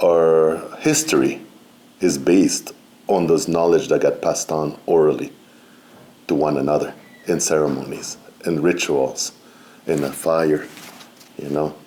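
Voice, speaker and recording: A man with a non-native accent speaks at a fairly slow pace. His speech has long, frequent pauses. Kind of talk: seminar talk. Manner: halting, with many fillers.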